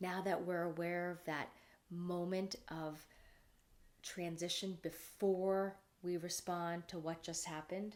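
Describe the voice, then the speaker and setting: Very slowly and in a calm tone, a woman speaks at a fairly low pitch with monotone, flat intonation. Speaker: speaker on personal growth. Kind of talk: talk. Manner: calm, lowered after breathing.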